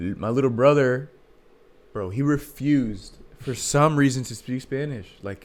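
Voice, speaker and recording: A man with an American accent speaks in an ordinary speaking voice at a moderate pace, his medium pitch moving with ordinary variation while his loudness swings widely. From US, Argentine family. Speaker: podcast co-host. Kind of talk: casual chat. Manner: casual, slangy.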